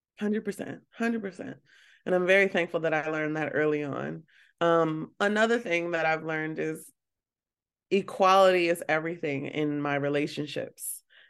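Against a quiet background, a woman with an American accent has an ordinary speaking voice, pitched fairly low, with ordinary pitch variation. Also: moderate pace. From Baltimore, US. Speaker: curator and art dealer. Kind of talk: casual interview chat.

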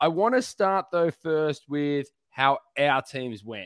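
Against a quiet background, a man with a fairly high pitch and an unremarkable speaking voice is heard in a dry, close sound with no echo. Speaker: podcast host. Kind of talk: casual chat. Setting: live stream.

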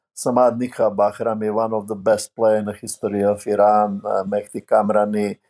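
In a Serbian accent, a man with a dark, mellow tone speaks at a fairly slow pace with fairly even intonation, the sound dry and close with no echo. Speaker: basketball coach. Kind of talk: interview. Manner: halting.

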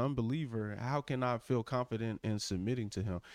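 Against a quiet background, a man with an unremarkable speaking voice keeps a medium pitch and fairly even intonation. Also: dry, close sound with no echo. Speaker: co-host. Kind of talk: casual religious discussion. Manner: agreeable, interjecting, joking.

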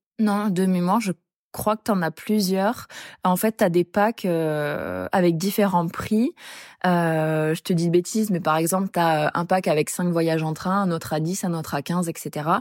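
A woman with a normal speaking voice and a fairly low pitch talks at a fairly slow pace with fairly even intonation, recorded dry and close with no echo on a very clean track with a silent background. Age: 20s. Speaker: traveler sharing experience. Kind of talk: casual chat.

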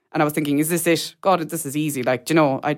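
The speaker has a Kerry accent. The recording is very clean, with a silent background. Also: woman. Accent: Kerry Irish. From Ireland, mid-Kerry. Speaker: adopted person sharing her story. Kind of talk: interview testimony. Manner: halting, many fillers.

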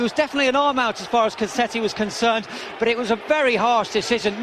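A man's extremely high-pitched voice over noticeable background noise. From Liverpool, northern England. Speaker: football reporter. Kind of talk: interview. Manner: halting.

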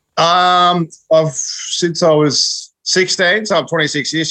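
A man with an Australian accent, bright, sharp tone and a dry, close sound with no echo. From northern Victoria, Australia. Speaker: dairy farmer. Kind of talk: casual chat.

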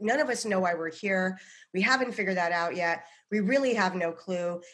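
A woman has an ordinary speaking voice and an American accent. She talks at a fairly quick pace with ordinary pitch variation. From US, Boulder, Colorado. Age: 40s. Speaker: psychic medium and comedian. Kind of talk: casual chat.

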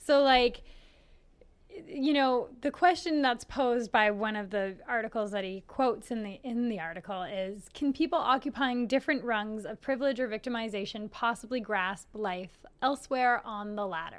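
Speaking in a normal speaking voice with a Canadian accent, a woman with a fairly high pitch talks at a moderate pace with lively intonation. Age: 30s. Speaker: podcast co-host. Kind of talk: casual chat. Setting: studio, being filmed.

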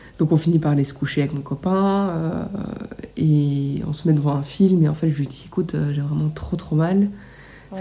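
The woman's voice sits at a very deep, low pitch. Its pitch moves with ordinary variation. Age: 20s. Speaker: nail technician sharing birth story. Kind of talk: testimony.

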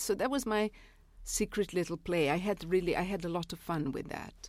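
Against a silent background in a very clean recording, a woman with a Serbian accent speaks at a moderate pace. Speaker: novelist and literary critic. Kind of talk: interview. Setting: studio.

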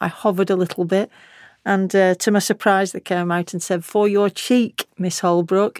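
A woman's medium-pitched voice with a Lancashire accent at a moderate pace, dry and close with no echo. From Lancashire, northern England. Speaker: retired senior police officer. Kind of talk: memoir-style interview.

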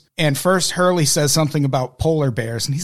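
This man has a fairly high pitch, ordinary pitch variation, and an unremarkable speaking voice. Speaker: podcast host. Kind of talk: casual chat.

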